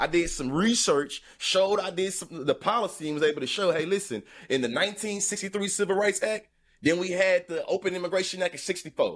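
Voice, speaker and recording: Pitched high, a man speaks at a moderate pace with ordinary pitch variation. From US South, Texas. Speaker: commentator. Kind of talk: casual chat.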